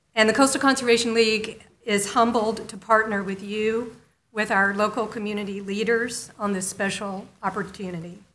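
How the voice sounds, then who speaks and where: A woman's medium-pitched, monotone, flat delivery at a moderate pace, with audible room echo. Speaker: conservation nonprofit director. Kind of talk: public meeting speech. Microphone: echo in room, stepped away from mic.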